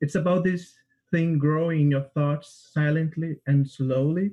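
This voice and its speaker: A man with a Portuguese accent speaks at a moderate pace in a fairly high pitch, his tone dark and mellow and somewhat breathy. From Brazil, Rio de Janeiro. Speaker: composer and music student. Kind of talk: describing own piece, prepared; interview answers. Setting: livestream.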